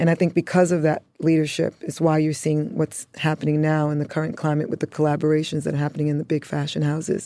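In a dark, mellow tone and a flat, monotone delivery, the speech goes at a very fast pace on a very clean recording with a silent background. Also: woman, very deep, low pitch for a woman. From Bronx, New York (born in Antigua). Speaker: costume designer and stylist. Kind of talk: interview.

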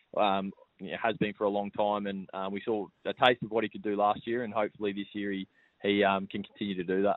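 Speaking in an Australian accent, a man with a fairly low pitch races along at a very fast pace in a monotone, flat intonation. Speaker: professional cricketer. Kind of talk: radio interview.

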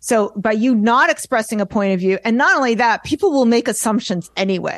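Fairly quick and fairly high, a woman talks with ordinary pitch variation. She has a plain, everyday voice. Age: 50s. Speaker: artist and art business coach. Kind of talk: casual chat.

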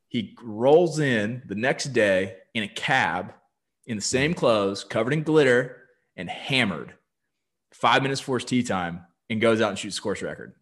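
Against a quiet background, a man with an American accent and a normal speaking voice talks at a moderate pace with medium pitch and lively intonation. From US South, South Carolina coast. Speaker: golf podcast host. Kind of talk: casual chat.

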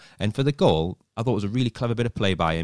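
This man is heard on a very clean recording with a silent background. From North East England. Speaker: magazine journalist and football fan. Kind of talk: casual chat.

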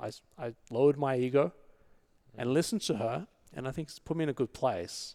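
A man with an Australian accent talks at a fairly quick pace, with a medium pitch and ordinary pitch variation. He takes long, frequent pauses, and his loudness swings widely. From Australia, Sydney. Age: 40s. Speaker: entrepreneur. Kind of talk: casual chat.

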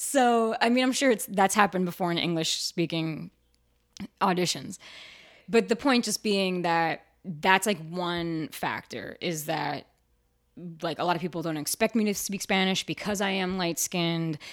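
Animated in tone, a woman with an American accent speaks at a moderate pace with ordinary pitch variation. The recording is very clean, with a silent background. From New Jersey, near Asbury Park. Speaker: actor and voiceover artist. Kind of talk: casual chat. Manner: animated, laughing.

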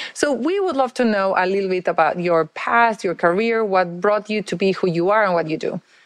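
In a normal speaking voice, a woman with a medium pitch talks at a fairly quick pace with hardly any pauses. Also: ordinary pitch variation. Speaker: podcast co-host. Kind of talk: interview conversation.

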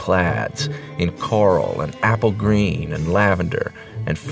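The recording consists of plain reading aloud.

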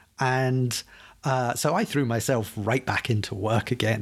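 A man is speaking. His voice is somewhat breathy. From Scotland. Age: 40s. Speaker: app developer. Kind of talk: casual chat. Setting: remote recording.

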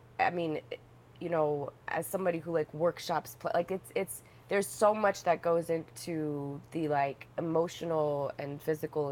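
An animated woman speaks at a moderate pace in a very deep, low voice. There is noticeable background noise behind her. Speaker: actress. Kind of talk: casual roundtable interview. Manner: animated, laughing.

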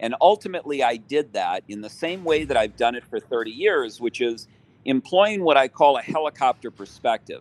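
In a normal speaking voice with a fairly high pitch, a man talks at a moderate pace with lively intonation and big swings in loudness, the sound dry and close with no echo. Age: 60s. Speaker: lawyer and businessman. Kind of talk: interview.

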